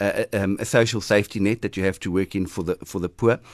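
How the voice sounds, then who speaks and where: Against a quiet background, a man talks at a very fast pace. The sound is dry and close, with no echo. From South Africa, Eastern Cape. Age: 40s. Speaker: city mayor and politician. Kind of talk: radio interview. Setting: radio studio.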